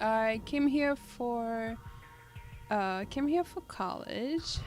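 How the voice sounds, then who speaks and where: While music plays in the background, a woman with a fairly high pitch speaks at a very slow pace. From Guadeloupe (Caribbean). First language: French. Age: 20s. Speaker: streamer. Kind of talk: casual chat. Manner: halting, many fillers.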